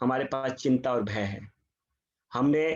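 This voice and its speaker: The intonation is lively. It belongs to a man. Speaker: Bhagavad Gita scholar and chartered accountant. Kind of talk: spiritual talk to online audience. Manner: tries to speak louder. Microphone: voice too quiet.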